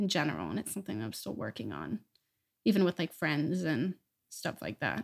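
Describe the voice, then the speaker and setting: Her very deep, low voice carries vocal fry and very wide pitch swings as the woman talks at a fairly quick pace in a dry, close sound with no echo. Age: young. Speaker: college student, musical theater major. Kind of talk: casual family chat. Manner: laughs often.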